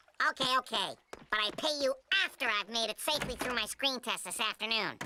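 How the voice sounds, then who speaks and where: This is a cartoonish character voice that sounds female. It is fairly high in pitch and moves at a fairly quick pace. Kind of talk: cartoon comic acting.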